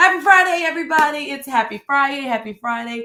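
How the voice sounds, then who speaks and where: The voice belongs to a woman. She sounds animated. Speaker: church minister. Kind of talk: live-streamed devotional talk. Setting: home studio, live stream. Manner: loud.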